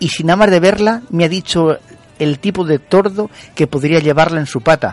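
Noticeable background noise sits behind fairly quick speech whose pitch varies in an ordinary way. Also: man. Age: 50s. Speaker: radio co-host. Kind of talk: radio talk show. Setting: radio studio.

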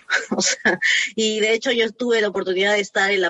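A woman at a fairly quick pace with noticeable background noise. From Peru, Arequipa. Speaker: legal design expert, lawyer. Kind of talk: interview. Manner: animated.

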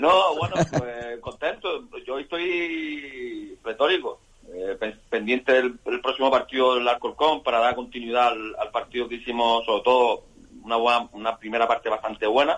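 This is a man with an ordinary speaking voice at a medium pitch. He keeps a moderate pace with ordinary pitch variation. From Canary Islands. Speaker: sports pundit, former footballer. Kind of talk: radio panel discussion.

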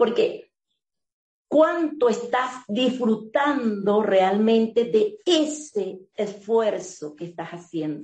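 Her voice is fairly high and somewhat breathy, moving at a very slow pace with lively intonation from this woman. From Venezuela. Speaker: life coach. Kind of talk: interview.

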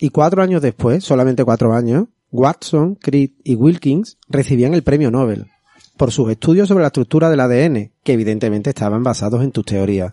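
The man's voice has a dark, mellow tone and lively intonation. The sound is dry and close, without echo. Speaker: school radio presenter. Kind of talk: scripted role-play dialogue.

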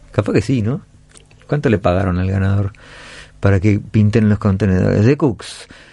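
At a moderate pace, a man talks with a fairly low pitch, ordinary pitch variation and long, frequent pauses. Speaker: radio host. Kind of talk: comedic monologue.

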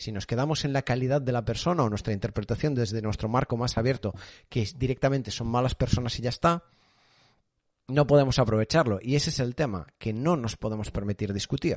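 A man talks in an ordinary speaking voice at medium pitch and a fairly quick pace, with ordinary pitch variation and a quiet background. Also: dry, close sound with no echo. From Galicia, Spain (Rías Baixas). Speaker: streamer and podcast host. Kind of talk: casual live stream chat.

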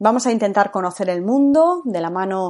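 With a dark, mellow tone and lively intonation, a woman speaks at a medium pitch and a moderate pace against a quiet background. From Spain, Galicia. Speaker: podcast host, former radio presenter. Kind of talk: scripted narration.

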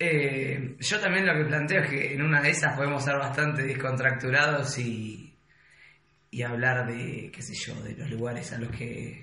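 A man's fairly high voice with a Rioplatense accent, fairly even intonation and a fairly slow pace, over noticeable background noise. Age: 20s. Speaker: podcast co-host. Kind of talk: casual chat.

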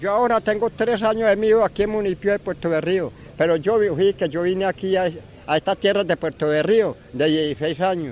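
Moderate pace and ordinary pitch variation, in a dry, close sound with no echo. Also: man, high pitch for a man. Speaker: elderly man living in a shelter. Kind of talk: interview. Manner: halting.

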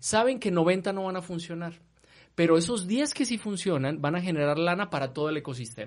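The speaker is a man with a high-pitched voice. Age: 40s. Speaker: university rector. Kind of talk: casual chat.

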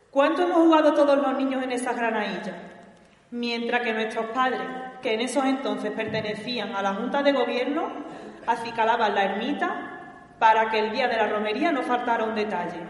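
A woman speaks at a moderate pace, her pitch fairly high. Her pitch varies in an ordinary way, with noticeable noise behind her. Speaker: daughter of the pregonera, presenting her. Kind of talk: formal introduction speech, read aloud.

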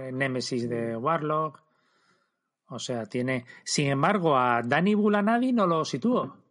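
A man with a fairly high voice speaks at a very slow pace and swings his pitch very widely. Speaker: comics podcast host. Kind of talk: casual chat.

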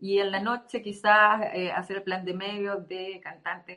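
Here a woman speaks at a medium pitch. She has a Chilean accent. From southern Chile (Temuco). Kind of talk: casual interview.

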